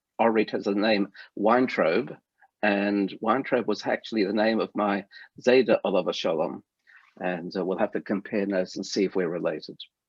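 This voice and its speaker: A man speaks with an Australian accent. His pitch is fairly low and his intonation fairly even. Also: moderate pace. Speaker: rabbi and lecturer. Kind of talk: lecture. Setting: video call.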